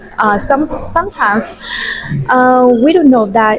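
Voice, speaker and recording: A woman with a Vietnamese accent and lively intonation, music in the background. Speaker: university student. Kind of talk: podcast interview. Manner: halting.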